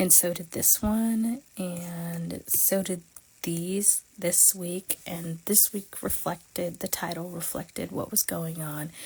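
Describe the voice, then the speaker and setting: Very slow and somewhat breathy, a woman's voice has a dark, mellow tone, fairly low pitch and fairly even intonation. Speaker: planner creator. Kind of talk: casual livestream tutorial. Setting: livestream.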